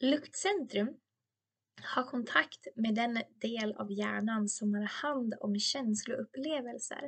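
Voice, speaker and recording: A woman with a fairly high voice speaks at a very slow pace, her pitch varying in an ordinary way. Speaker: podcast host, beauty educator. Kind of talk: educational monologue with personal anecdotes. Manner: chatty, laughs often.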